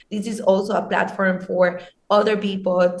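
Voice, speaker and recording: Audible room echo surrounds a woman of medium pitch speaking at a fairly slow pace with fairly even intonation. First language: not English. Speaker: social media team member of a crypto news channel. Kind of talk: interview conversation. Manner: hesitant, many fillers.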